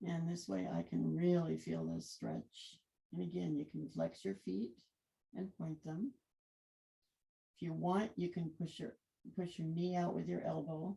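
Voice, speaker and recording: A woman mumbles quietly at a fairly slow pace, with long, frequent pauses. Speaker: yoga instructor. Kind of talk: guided yoga class. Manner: mumbling; too quiet.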